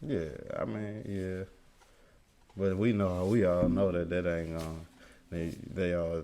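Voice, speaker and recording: Long, frequent pauses break up speech delivered at a fairly slow pace with ordinary pitch variation, and audible room echo surrounds it. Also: man, very deep, low pitch for a man. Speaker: amateur rapper. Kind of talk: interview. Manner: halting.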